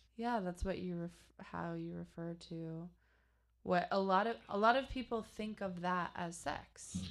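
The delivery is fairly slow, with ordinary pitch variation. It is a plain, everyday voice. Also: woman, fairly low pitch for a woman. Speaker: podcast co-host. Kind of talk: casual chat.

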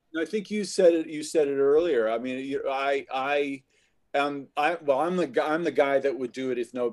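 This man has an ordinary speaking voice with a fairly high pitch and ordinary pitch variation. He talks at a moderate pace with hardly any pauses. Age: 50s. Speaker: actor and voice actor. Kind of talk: casual chat.

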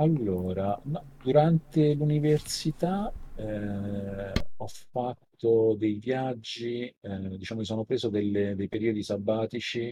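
A man's dark, mellow, somewhat breathy voice at a very slow pace, with ordinary pitch variation. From Italy, Rome. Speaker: tech entrepreneur, former researcher. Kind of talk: interview. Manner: halting, many fillers and repetitions.

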